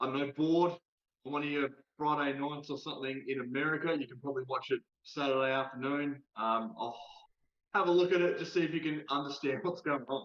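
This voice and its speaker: Speaking with an Australian accent, a man uses a fairly high pitch, a fairly quick pace and fairly even intonation. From South Australia. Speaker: TikTok creator. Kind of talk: casual chat. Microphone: delay, poor internet connection.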